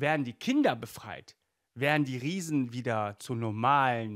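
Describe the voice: Recorded very cleanly against a silent background, a man speaks at a medium pitch and a fairly slow pace.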